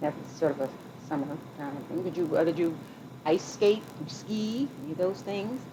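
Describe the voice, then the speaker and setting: Against noticeable background noise, a woman talks at fairly low pitch and a moderate pace. Her intonation is lively, broken by long, frequent pauses. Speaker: oral history interviewer. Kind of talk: interview questions.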